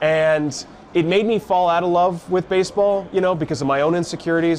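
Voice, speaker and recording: Over noticeable background noise, a man with an American accent speaks at a moderate pace. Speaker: baseball radio broadcaster. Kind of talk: interview answer. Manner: conversational, reflective, self-deprecating.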